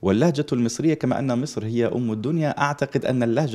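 Speaking at a moderate pace with an Egyptian accent, a man uses a medium pitch and a dark, mellow tone. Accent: speaks Egyptian Arabic fluently. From Libya. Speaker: Islamic preacher and teacher. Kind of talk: religious TV interview.

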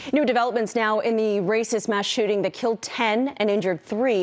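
Over music in the background, a woman speaks at a very fast pace with ordinary pitch variation. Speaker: news anchor. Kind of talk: TV newscast anchor reading headlines and handing over to reporters. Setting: TV studio newscast. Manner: formal, polished, brisk broadcast delivery. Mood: serious for shooting story. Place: studio. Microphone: lapel.

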